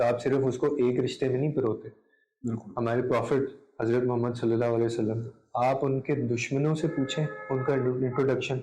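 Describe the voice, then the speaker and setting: Somewhat breathy, with a dark, mellow tone and a medium pitch, the man talks in monotone, flat intonation at very even loudness. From Pakistan. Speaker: content creator, radio broadcaster, voice-over artist. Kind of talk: interview answer.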